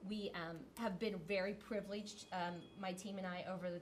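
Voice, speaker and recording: Audible room echo surrounds a woman speaking with monotone, flat intonation. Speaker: school principal. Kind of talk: presentation to school board. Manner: fast.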